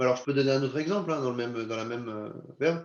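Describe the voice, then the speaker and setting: Here a man talks at a very fast pace. His pitch is medium with ordinary variation. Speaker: insurance company representative. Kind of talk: webinar presentation. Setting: video conference.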